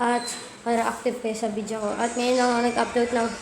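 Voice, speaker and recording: A soft-spoken woman's high-pitched voice at a fairly quick pace, with audible room echo and noticeable background noise. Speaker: gaming youtuber. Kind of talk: gameplay commentary. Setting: playing on tablet.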